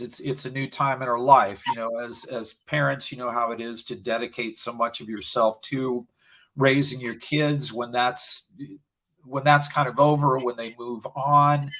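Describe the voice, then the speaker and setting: Fairly slow and fairly even in intonation, a plain, everyday voice comes through on a very clean recording with a silent background. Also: man. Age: 60s. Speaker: video producer, small business owner. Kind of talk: interview.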